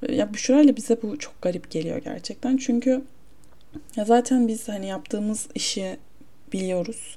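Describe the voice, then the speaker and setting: The voice has a dark, mellow tone and ordinary pitch variation. It moves at a fairly slow pace with big swings in loudness. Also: woman, fairly high pitch for a woman. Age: 20s. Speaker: solo podcaster. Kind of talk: casual monologue. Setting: home, her bedroom. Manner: casual, self-interrupting.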